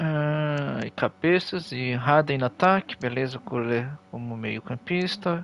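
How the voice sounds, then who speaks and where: Speaking at a very slow pace with hardly any pauses, a man uses a fairly high pitch and ordinary pitch variation. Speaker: gaming streamer. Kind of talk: live gameplay commentary. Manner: animated.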